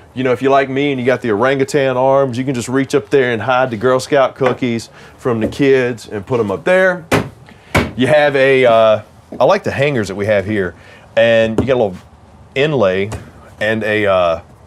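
Music plays in the background as a man speaks at a moderate pace. He uses ordinary pitch variation and takes long, frequent pauses. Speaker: RV salesman or tour host. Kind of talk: casual product walkthrough.

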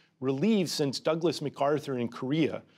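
Moderate pace against a quiet background. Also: man. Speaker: interviewee. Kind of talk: interview answer. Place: studio. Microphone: lapel.

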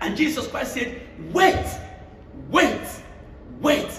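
An animated male voice over noticeable background noise. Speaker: preacher. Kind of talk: sermon with call-and-response, preaching to a church congregation. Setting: church. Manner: animated, exhortative, repeats phrases for emphasis, pauses for congregation amens.

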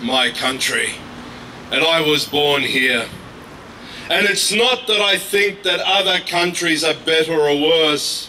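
An Australian-accented man speaks at a high pitch and a fairly slow pace, with ordinary pitch variation and very even loudness. Long pauses come often, over light background noise. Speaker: activist; speaker. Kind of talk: protest speech. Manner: impassioned. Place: street. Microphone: handheld.

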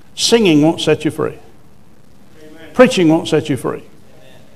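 This man's voice sits at a fairly high pitch. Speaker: preacher. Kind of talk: sermon. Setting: church with congregation. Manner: animated, call-and-response, urging the congregation to say amen; emphatic, forceful, declaring with authority. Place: church. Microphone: lapel.

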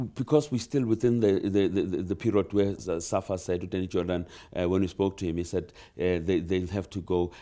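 Over a quiet background, a man talks at a fairly quick pace with hardly any pauses, his very deep, low pitch carrying a dark, mellow tone and ordinary pitch variation. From South Africa. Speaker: sports journalist. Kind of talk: interview. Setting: radio studio. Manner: halting. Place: studio. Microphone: lapel.

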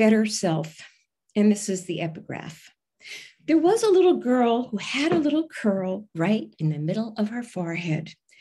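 With a dark, mellow, somewhat breathy tone and very wide pitch swings, the voice moves at a moderate pace against a quiet background. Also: woman. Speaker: poet. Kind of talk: poem reading. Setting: video call. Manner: measured, expressive reading. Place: home room. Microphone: video call.

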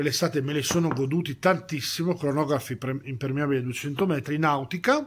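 Here is a normal speaking voice from a man with a fairly high pitch and ordinary pitch variation. He goes at a fairly quick pace over light background noise. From Parma, northern Italy; northern Italy. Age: 40s. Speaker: watch collector sending a video; watch reviewer. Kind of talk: recorded video message. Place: home room.

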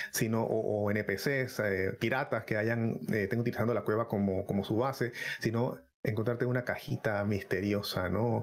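Here a man talks at a moderate pace, his intonation fairly even and his loudness very even. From Panama. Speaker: gaming content creator. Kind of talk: live-streamed podcast chat. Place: home room. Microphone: headset.

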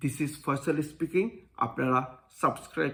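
A man's voice with a bright, sharp tone. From Bangladesh. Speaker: engineer and YouTuber. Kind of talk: channel introduction, prepared monologue. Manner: formal.

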